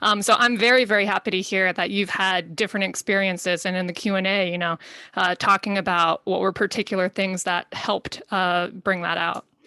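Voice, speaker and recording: A woman with an American accent speaks at a fairly quick pace with hardly any pauses, in a medium pitch, a bright, sharp tone and monotone, flat intonation. The recording is very clean with a silent background and a dry, close sound with no echo. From USA. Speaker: panel moderator. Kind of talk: panel moderation.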